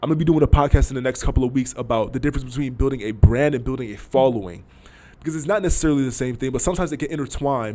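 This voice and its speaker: A man rattles along at a very fast pace in a medium pitch with ordinary pitch variation. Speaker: amateur boxer and podcast host. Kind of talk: casual advice talk.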